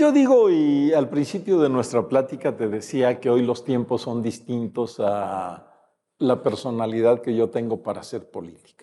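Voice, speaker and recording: Speaking at a fairly slow pace, a man with a dark, mellow tone keeps a medium pitch and ordinary pitch variation. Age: 70s. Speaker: retired politician. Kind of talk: interview. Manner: hesitant with fillers.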